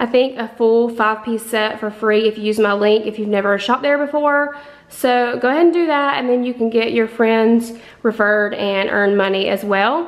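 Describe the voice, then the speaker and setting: Her pace moderate, a woman talks with ordinary pitch variation. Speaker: vlogger. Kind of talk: casual vlog chat. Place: kitchen. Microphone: phone near.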